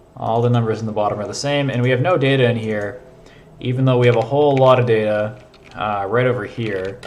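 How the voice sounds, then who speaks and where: Over noticeable background noise and audible room echo, a man talks at a very fast pace with fairly even intonation. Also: medium pitch for a man. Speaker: programming streamer. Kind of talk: live coding stream. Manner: casual, filler-heavy.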